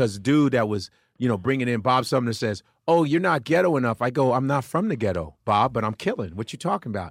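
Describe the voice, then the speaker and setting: In a Chicago accent, a man talks very fast with lively intonation at a medium pitch. The recording is very clean, with a silent background. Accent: Chicago American English. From Chicago, US Midwest. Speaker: comedian. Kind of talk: casual chat. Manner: animated.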